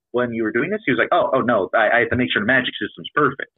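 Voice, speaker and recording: His pitch swings very widely. This man speaks at a very fast pace. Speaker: novelist and role-player. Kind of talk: casual interview chat. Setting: online voice call.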